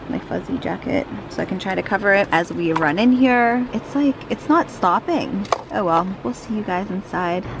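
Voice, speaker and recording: A woman speaks with very wide swings in pitch. Noticeable background noise runs behind her. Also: moderate pace, dry sound with no echo. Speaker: family vlogger. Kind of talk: casual vlog chat. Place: car.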